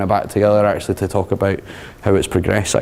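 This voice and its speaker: In a strong Scottish accent, a man speaks with a fairly low pitch and a dark, mellow tone. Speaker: tech consultant and user group leader. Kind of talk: conference talk. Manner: fast.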